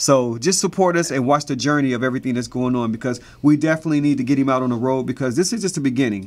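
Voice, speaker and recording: A man's animated tone at a very fast pace, with ordinary pitch variation. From US Midwest, Cincinnati; Ohio. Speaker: choreographer and web show host; web show host. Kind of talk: casual chat. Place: studio.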